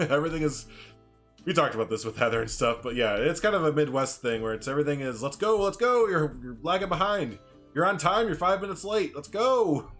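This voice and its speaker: A man talks very fast at a fairly high pitch, his pitch swinging very widely. Music plays in the background. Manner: fast talker when excited.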